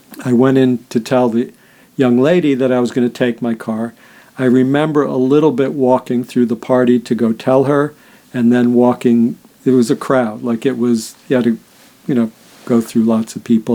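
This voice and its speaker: In a New York accent, the speaker keeps a dark, mellow tone, a moderate pace and monotone, flat intonation. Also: man. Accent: New York area American. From US Northeast, Rye Brook, New York. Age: 60s. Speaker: near-death experiencer and spiritual healer. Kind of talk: personal testimony. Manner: casual, with many fillers.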